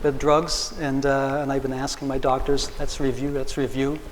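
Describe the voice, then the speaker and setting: In a room with audible echo and noticeable background noise, a man speaks at a moderate pace and a fairly high pitch. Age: 60s. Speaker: patient and community activist. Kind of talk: public forum panel remarks. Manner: halting, with many repeated words.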